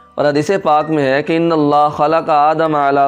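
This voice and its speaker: A fairly high-pitched male voice with music in the background. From Pakistan. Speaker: voice-over artist and Quran reciter. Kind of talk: religious history narration.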